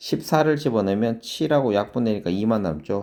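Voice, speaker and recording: This man's fairly low voice has a dark, mellow tone and moves at a fairly quick pace. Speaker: math academy director and teacher. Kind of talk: lecture. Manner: fast.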